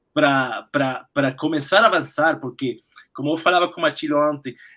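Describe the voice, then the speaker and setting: A man talks at a fairly quick pace with a Spanish accent. His pitch is fairly high. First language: Spanish (speaking Portuguese). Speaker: cardiac surgeon. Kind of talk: webinar Q&A discussion. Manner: halting.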